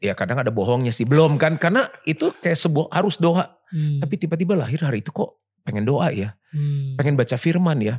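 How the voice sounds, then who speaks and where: Very fast, somewhat breathy speech from a man with lively intonation. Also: fairly high pitch for a man. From Jakarta, Indonesia. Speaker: pastor. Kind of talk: casual interview chat. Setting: apartment sofa.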